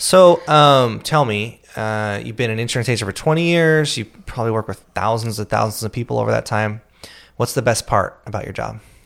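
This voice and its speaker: A man with a normal speaking voice talks at a fairly quick pace and a medium pitch, with ordinary pitch variation. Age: 30s. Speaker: podcast host and insurance business owner. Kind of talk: casual interview.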